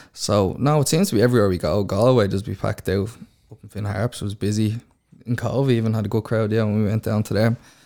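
In a very clean recording with a silent background, a man with a dark, mellow tone and fairly low pitch speaks at a very fast pace with fairly even intonation. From Bray, County Wicklow, Ireland. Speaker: semi-professional footballer. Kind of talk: interview.

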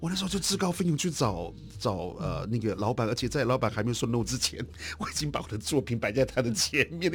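A voice that talks at a very fast clip with very wide swings in pitch. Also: man. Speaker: artist. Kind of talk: interview.

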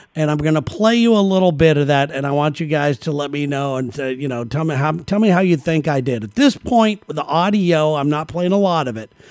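A man's unremarkable speaking voice, fairly high-pitched, with lively intonation, a fairly quick pace and hardly any pauses. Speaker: podcast host. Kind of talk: casual chat.

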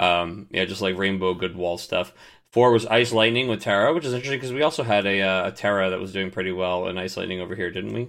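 Speaking at a very fast pace, a man talks in a fairly low pitch. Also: ordinary pitch variation. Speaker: podcast host. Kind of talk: casual chat. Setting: video call. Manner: excitable.

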